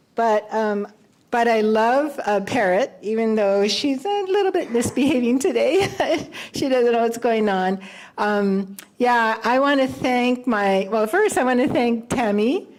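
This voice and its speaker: Over noticeable background noise, a woman with a fairly high pitch talks at a fairly slow pace, her intonation lively and her loudness very even. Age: 70s. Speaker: blind guide dog graduate. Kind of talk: graduation speech. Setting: ceremony with live audience. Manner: halting, many fillers.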